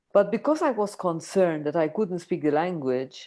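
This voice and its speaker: A woman's lively intonation comes through over a quiet background. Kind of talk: casual chat. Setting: video call. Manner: slow; halting.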